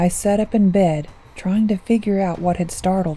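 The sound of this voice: An unforced reading voice keeps a fairly level intonation.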